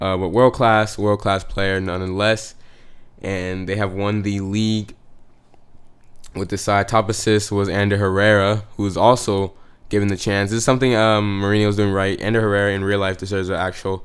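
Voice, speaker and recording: With a fairly low pitch and an animated tone, a man speaks at a moderate pace. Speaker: gaming youtuber. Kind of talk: gameplay commentary. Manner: halting, many fillers and restarts; casual, animated.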